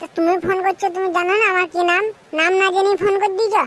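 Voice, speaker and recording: In a cartoonish character voice, a woman talks at a fairly quick pace with an extremely high pitch, monotone, flat intonation and very even loudness. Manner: coarse, swearing, brazen.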